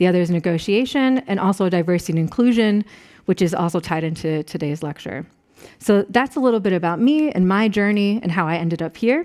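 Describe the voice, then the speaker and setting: This woman speaks in an American accent at a medium pitch and a fairly quick pace. Her intonation is lively. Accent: American, noticeable to German audience. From US Northeast, Rochester, New York. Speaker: professor. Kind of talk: lecture.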